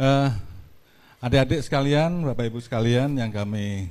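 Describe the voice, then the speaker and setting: A man speaking at a fairly slow pace. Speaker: local government official. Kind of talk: public talk to students. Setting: stage with audience. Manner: casual.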